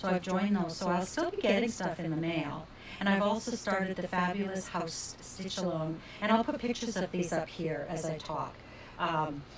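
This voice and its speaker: Noticeable background noise runs under a woman speaking at a moderate pace. Her pitch is medium with ordinary variation. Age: 60s. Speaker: crafting video creator. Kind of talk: casual vlog monologue. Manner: chatty with fillers. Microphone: sound problems in video.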